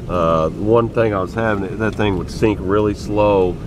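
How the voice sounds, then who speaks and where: Noticeable background noise with a dry sound and no echo. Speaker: angler vlogger. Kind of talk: casual vlog chat. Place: car. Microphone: phone near.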